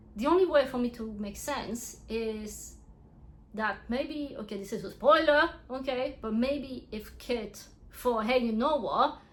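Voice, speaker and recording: A woman with a French accent speaks at a fairly slow pace in a high pitch. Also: ordinary pitch variation. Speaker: book reviewer. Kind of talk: casual review vlog. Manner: animated, casual.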